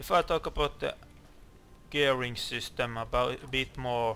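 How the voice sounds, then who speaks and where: A man talks fairly slowly at a medium pitch, his intonation fairly even. His tone comes across bright and sharp. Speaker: gaming video creator. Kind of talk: gameplay commentary. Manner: halting, stuttering; mumbling at times.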